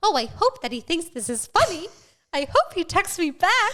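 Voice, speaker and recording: A squeaky, put-on character voice from a woman, extremely high in pitch, with very wide pitch swings at a moderate pace. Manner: sweet, anxious, hopeful.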